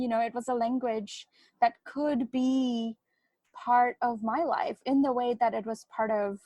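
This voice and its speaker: In a dry, close sound with no echo, a woman with a fairly high pitch speaks at a fairly slow pace with fairly even intonation. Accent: Bengali. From India. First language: Bengali. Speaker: novelist. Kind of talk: interview.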